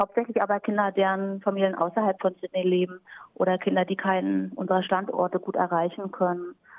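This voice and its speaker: A woman's ordinary speaking voice at a medium pitch and moderate pace. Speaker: German teacher. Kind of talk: interview.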